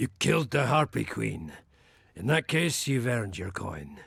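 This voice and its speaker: A raspy, put-on character voice from a man, medium in pitch, with very wide pitch swings at a moderate pace. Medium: video game.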